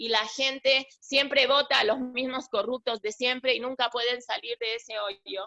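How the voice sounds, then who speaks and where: A woman speaks at a fairly slow pace in a high, bright, sharp voice, with a dry, close sound and no echo. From Argentina. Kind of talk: religious class. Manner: halting, many false starts.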